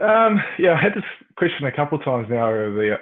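The pitch swings very widely, in a New Zealand accent. The pace is fairly quick. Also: man. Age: 20s. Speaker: professional cricketer. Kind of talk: casual chat.

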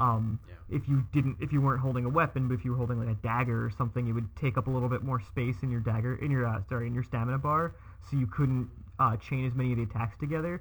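Speaking very fast, a man uses ordinary pitch variation. His medium-pitched voice is somewhat breathy. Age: 30s. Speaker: childhood friend of the host. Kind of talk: casual chat.

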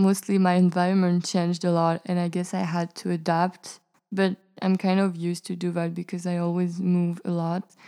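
Delivered in a dark, mellow tone at a moderate pace, the speech stays monotone and flat in a very clean recording with a silent background. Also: woman, fairly low pitch for a woman. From Senegal, Singapore and South Africa. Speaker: university student. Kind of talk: interview.

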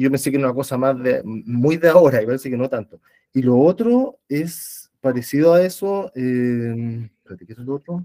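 A man speaks at a medium pitch with ordinary pitch variation and a dark, mellow tone, in a dry, close sound with no echo. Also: fairly slow pace. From Chile. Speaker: former teacher. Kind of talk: book club discussion. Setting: video call.

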